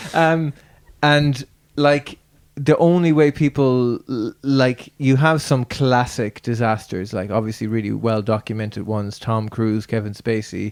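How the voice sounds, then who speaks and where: With an Irish accent, a man of medium pitch speaks at a fairly slow pace with ordinary pitch variation, the sound dry and close with no echo. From Ireland. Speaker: podcast host. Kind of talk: casual chat. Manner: halting, many false starts.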